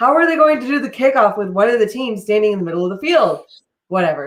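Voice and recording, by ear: Lively intonation marks this reading aloud in a natural voice, set against a quiet background.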